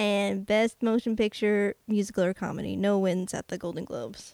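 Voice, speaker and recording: A woman speaks in a plain, everyday voice at a moderate pace with ordinary pitch variation. The sound is dry and close, with no echo. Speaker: podcast host. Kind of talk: casual chat.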